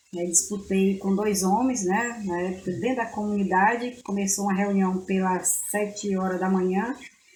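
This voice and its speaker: With audible room echo and noticeable background noise, the speaker goes at a moderate pace with hardly any pauses and fairly even intonation. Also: woman, medium pitch for a woman. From Brazil, far south of Bahia (Prado region). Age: 50s. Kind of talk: interview.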